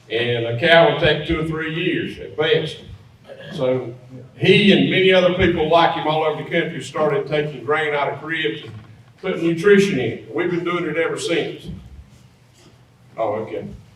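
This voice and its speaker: A North Carolina accent at a moderate pace, with ordinary pitch variation, long, frequent pauses, audible room echo and noticeable background noise. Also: man, fairly high pitch for a man. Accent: Southern US (North Carolina). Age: 60s. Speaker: feed mill owner. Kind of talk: presentation to an audience. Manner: casual, conversational.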